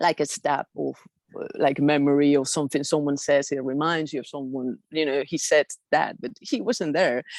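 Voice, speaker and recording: Someone with a Spanish accent talks at a moderate pace with fairly even intonation, the sound dry and close with no echo over a quiet background. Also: woman, very deep, low pitch for a woman. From Spain. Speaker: airline pilot sharing experiences. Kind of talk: personal testimony in group video meeting. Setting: video call. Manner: halting, many fillers.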